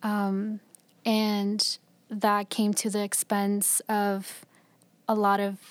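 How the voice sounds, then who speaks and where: A woman's voice at medium pitch, in a very clean recording with a silent background. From US, raised in Florida and Michigan as child of Mexican migrant farm workers. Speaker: student, DACA recipient. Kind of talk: personal storytelling on a podcast.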